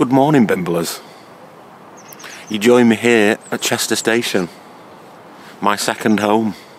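A man speaks slowly at a fairly low pitch, with ordinary pitch variation and faint background noise.

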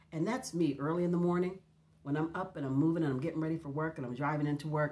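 This woman's voice is very deep and low in pitch and somewhat breathy. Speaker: devotional vlogger. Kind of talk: casual devotional chat, partly reading aloud. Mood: warm, calm, reflective. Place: home room.

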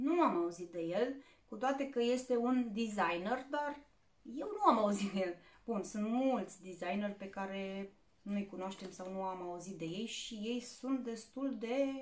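Speaking at a fairly slow pace, a woman uses ordinary pitch variation while her loudness swings widely. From Romania. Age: 30s. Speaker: YouTuber; haul vlogger. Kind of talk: shopping haul video; casual vlog chat. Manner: casual, with fillers. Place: home room. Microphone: phone near.

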